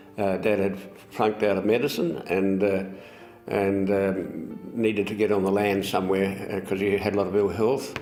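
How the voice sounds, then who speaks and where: Over music in the background and with audible room echo, a man talks at a moderate pace in a fairly low, monotone voice with flat intonation. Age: 80s+. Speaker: winery founder. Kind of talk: oral history interview. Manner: halting.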